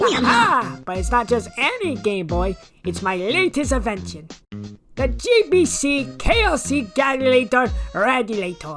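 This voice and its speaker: Someone uses a put-on character voice at a fairly high pitch. Faint music plays in the background. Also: moderate pace. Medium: dub.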